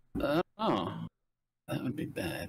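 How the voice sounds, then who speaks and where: The recording of a man's voice is dry and close, with no echo. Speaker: guest player. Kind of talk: casual tabletop gameplay chat.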